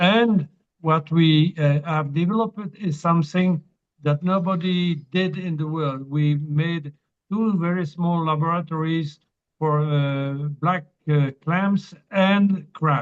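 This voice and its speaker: With a French accent, a man speaks at a very slow pace in a high pitch, his intonation fairly even. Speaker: meeting participant, reforestation project founder. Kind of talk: question and comment in video meeting. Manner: halting.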